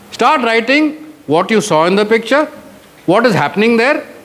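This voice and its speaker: A man's high-pitched speech comes through with noticeable background noise behind it. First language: Marathi. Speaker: retired air force officer, mentor. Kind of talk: motivational guidance talk to students. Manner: code-switches between English and Hindi.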